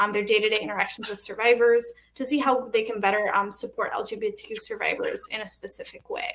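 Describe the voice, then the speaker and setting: A woman's high voice at a fairly quick pace. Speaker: nonprofit program manager. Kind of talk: panel presentation. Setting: virtual panel with interpreters. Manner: fast.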